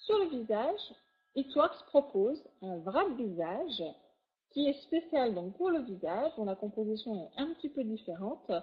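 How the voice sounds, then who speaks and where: Her voice high, a woman speaks at a fairly slow pace, her pitch swinging very widely. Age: 40s. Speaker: product distributor presenter. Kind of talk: sales pitch. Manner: animated.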